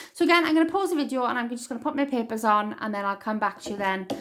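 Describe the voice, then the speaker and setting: A woman speaks with a Welsh accent. Her intonation is lively. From Wales. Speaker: crafting tutorial maker. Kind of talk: tutorial.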